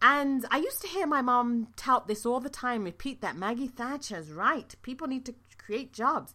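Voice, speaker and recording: A woman talks at a moderate pace in a high, bright, sharp voice with a slight British accent. She barely pauses at all. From London, England. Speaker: nurse and podcast host. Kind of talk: solo podcast talk, informal. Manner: conversational, fillers, upbeat.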